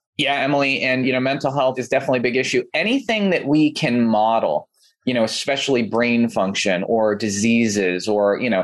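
Male voice at a medium pitch, with an American accent, moderate pace and ordinary pitch variation. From California, Santa Clarita. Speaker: NASA scientist and AI executive. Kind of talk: interview conversation.

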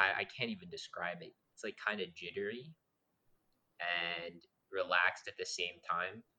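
The man speaks at a moderate pace with long, frequent pauses. His loudness swings widely. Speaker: podcast host. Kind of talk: casual chat. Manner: talkative, energetic.

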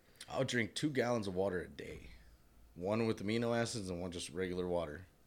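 This man's voice is very deep and low. He talks very fast with lively intonation. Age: 30s. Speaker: podcast guest, host's brother. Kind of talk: casual chat over beers.

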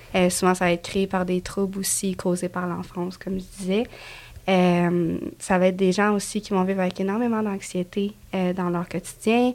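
A woman's voice with a Quebec accent, medium in pitch, monotone and flat, at a moderate pace. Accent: Québécois French. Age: 20s. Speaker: construction painter and TikTok creator. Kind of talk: casual interview chat.

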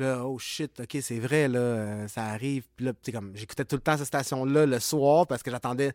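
The speaker is a man with an ordinary speaking voice, moving at a moderate pace. His pitch is medium, with ordinary variation. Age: 40s. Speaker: clothing brand co-founder. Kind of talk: casual interview chat. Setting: music rehearsal studio.

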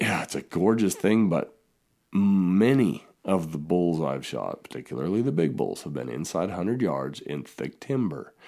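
A man with an American accent speaks at a moderate pace in a very deep, low voice with vocal fry. His dark, mellow tone moves through very wide pitch swings. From southern Utah. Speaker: hunting podcaster and writer. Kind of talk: casual interview conversation. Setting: remote call, Idaho.

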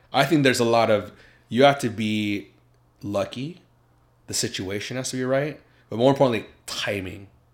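On a very clean, silent-background recording, a man with an American accent talks at medium pitch and a fairly quick pace, with ordinary pitch variation and long, frequent pauses. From US Midwest (Iowa), then Seattle area from teens. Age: 30s. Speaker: YouTuber. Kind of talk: casual chat.

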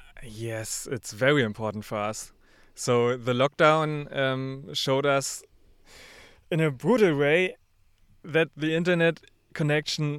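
A man with a German accent talks in a fairly high voice at a fairly slow pace. The recording is very clean, with a silent background. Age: young. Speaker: podcast company founder. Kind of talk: interview. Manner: hesitant, many fillers.

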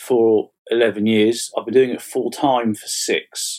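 A man is talking here. His accent is English. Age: 40s. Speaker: fantasy author. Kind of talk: casual chat. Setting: online call.

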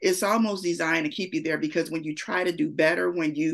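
This woman has an unremarkable speaking voice at a medium pitch. Her intonation is lively. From Gary, Indiana. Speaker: podcast host. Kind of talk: podcast interview.

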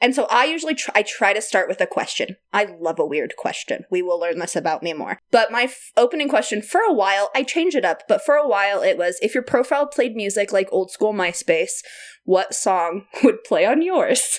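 A woman with a high pitch talks at a fairly quick pace with hardly any pauses. Her tone is animated, with very wide pitch swings. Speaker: podcast co-host. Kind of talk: casual chat. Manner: animated, joking.

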